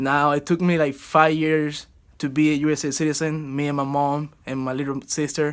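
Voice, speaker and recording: In a Cuban accent, a man speaks with monotone, flat intonation. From Cuba, Havana. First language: Spanish. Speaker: college baseball player. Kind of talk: student video presentation.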